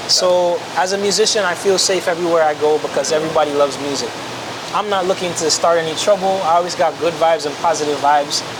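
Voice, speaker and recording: A man with a high pitch speaks at a very fast pace against noticeable background noise. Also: fairly even intonation. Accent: American. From Miami, Florida, Jamaican family. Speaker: pianist and music producer. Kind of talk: casual interview chat.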